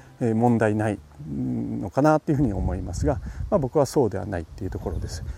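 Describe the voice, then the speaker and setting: A very fast, dark and mellow voice with vocal fry and very wide pitch swings. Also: man, fairly low pitch for a man. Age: 40s. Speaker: apple farmer in training. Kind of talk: solo podcast monologue.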